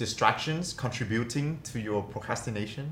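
Somewhat breathy, medium-pitched male speech with ordinary pitch variation and audible room echo. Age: 20s. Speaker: podcast co-host. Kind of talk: casual chat.

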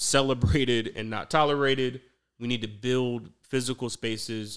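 On a very clean recording with a silent background, a man speaks with an American accent in an unremarkable speaking voice, at medium pitch, with ordinary pitch variation. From Atlanta, US South. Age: 30s. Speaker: entrepreneur, former attorney. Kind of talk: casual interview.

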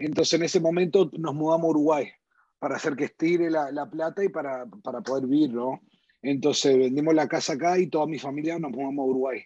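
A man with a fairly high pitch and a dark, mellow tone talks at a very fast pace. His intonation is fairly even. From US, northern New Jersey, Uruguayan parents. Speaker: insurance company CEO. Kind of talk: interview conversation.

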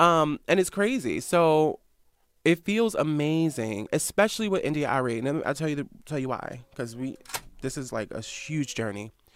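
Here is a normal speaking voice with an American accent and lively intonation. The pace is moderate. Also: man, fairly high pitch for a man. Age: 20s. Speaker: founder of a news media site. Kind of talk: casual interview. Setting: studio.

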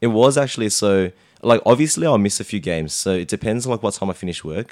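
Using lively intonation, a man with an Australian accent talks at a fairly quick pace. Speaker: amateur Oz Tag player. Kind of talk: casual chat.

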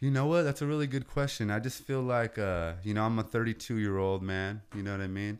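On a very clean recording with a silent background, a man with an American accent and a plain, everyday voice speaks at a fairly quick pace with hardly any pauses, a fairly low pitch and ordinary pitch variation. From California Central Coast. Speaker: rapper and landscaping business owner. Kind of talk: casual chat.

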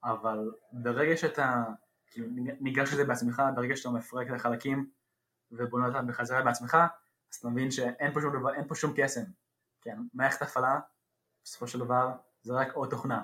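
At a moderate pace, a man speaks in a monotone, flat intonation with long, frequent pauses. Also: medium pitch for a man. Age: young. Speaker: program graduate, software developer. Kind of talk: interview. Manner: halting.

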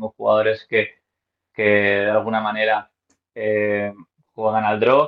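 This man talks at a medium pitch. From Spain, Madrid. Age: 30s. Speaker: professional golfer and golf coach. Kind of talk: interview.

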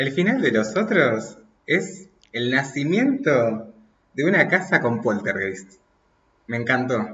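With very wide pitch swings, a man talks at a very slow pace, leaving long, frequent pauses amid audible room echo. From Argentina, Mendoza. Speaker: podcast guest, friend of host. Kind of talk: casual chat.

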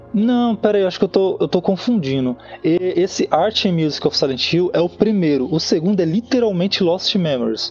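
Noticeable background noise sits behind a man speaking at a high pitch and moderate pace, with lively intonation, very even loudness and hardly any pauses. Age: 30s. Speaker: fan page administrator. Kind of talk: casual chat.

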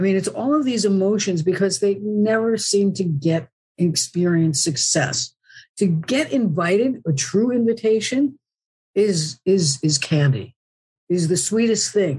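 Speaking at a fairly slow pace, a woman with a medium pitch has a dark, mellow tone, a somewhat breathy quality, very even loudness and very wide pitch swings. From New Jersey. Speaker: acupuncturist and human design coach. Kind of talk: interview.

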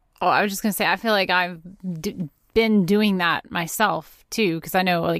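In a plain, everyday voice, a woman speaks at medium pitch and a moderate pace with fairly even intonation. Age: 30s. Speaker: podcast co-host. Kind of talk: interview conversation. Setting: video call.

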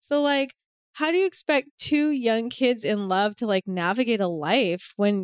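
Recorded with a dry, close sound and no echo, a woman speaks at a moderate pace in a fairly high pitch with an unremarkable speaking voice. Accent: American. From Boston, US. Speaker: sex and love coach. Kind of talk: personal testimony in casual interview.

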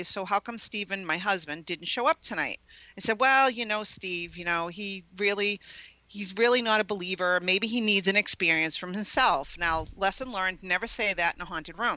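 Delivered in a normal speaking voice at a moderate pace with ordinary pitch variation, the speech comes on a very clean recording with a silent background. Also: woman. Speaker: psychic medium and ghost investigator. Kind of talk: casual interview chat.

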